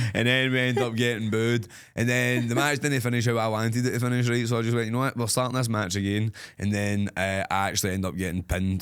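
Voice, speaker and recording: A man with a Scottish accent speaks in an animated tone at a very fast pace. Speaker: wrestler and podcast co-host. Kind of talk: casual chat. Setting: studio.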